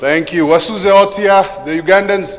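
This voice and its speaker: A man with a Kenyan accent, noticeable background noise behind him. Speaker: event MC, lawyer and lecturer. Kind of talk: conference MC welcome. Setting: conference hall with audience. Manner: energetic.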